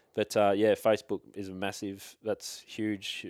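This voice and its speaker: An Australian accent from a man with a fairly low pitch and monotone, flat intonation, the sound dry and close with no echo, a very clean recording on a silent background. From Victoria, Australia. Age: 20s. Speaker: hunter. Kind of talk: casual chat.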